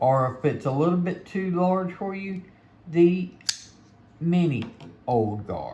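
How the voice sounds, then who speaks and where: With audible room echo around him, a man speaks very slowly in a somewhat breathy voice with lively intonation. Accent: Mississippi. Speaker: knife reviewer. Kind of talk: product review. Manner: casual, conversational.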